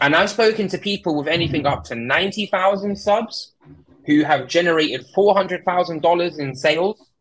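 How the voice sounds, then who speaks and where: A man with an English accent speaks at a moderate pace, his fairly high pitch showing ordinary pitch variation. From UK. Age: 20s. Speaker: tech content creator. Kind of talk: casual chat.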